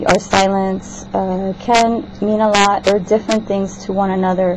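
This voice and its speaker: Over noticeable background noise, a woman at a medium pitch speaks with monotone, flat intonation. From South America. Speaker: student. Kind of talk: class assignment vlog. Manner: halting, many fillers.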